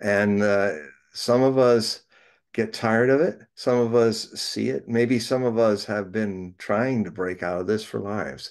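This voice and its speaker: Against a quiet background, a man speaks fairly slowly in a fairly low voice with ordinary pitch variation. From United States. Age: 60s. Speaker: prophecy writer and reader; reader. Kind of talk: casual interview chat. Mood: reflective, earnest. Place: home room. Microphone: video call.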